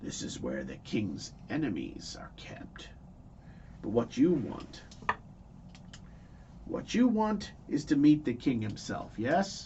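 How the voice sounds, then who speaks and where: In a put-on character voice, a raspy man talks at a fairly slow pace with long, frequent pauses over clear background noise. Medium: actual play. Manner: wheedling, conspiratorial.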